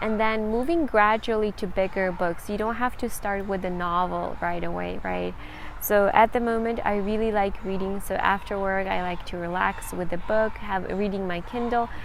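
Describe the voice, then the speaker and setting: A woman's medium-pitched voice with a Ukrainian accent, moderate pace, hardly any pauses, fairly even intonation and audible room echo. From Central Ukraine. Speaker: language-learning vlogger. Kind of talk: tutorial.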